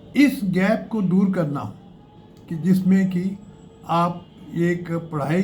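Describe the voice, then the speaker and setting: Audible room echo surrounds a man's high-pitched voice, which has ordinary pitch variation. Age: 80s+. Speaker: career advice youtuber. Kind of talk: tutorial. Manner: halting, with fillers.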